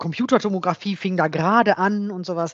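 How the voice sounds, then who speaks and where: Her pace fairly slow, a woman speaks. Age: 50s. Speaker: software developer and coworking space owner. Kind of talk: interview. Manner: halting.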